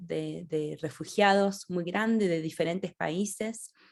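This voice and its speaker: With an Argentine accent, a woman talks with ordinary pitch variation on a very clean recording with a silent background. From Argentina, Rosario. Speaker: author. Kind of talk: interview. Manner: halting, many restarts.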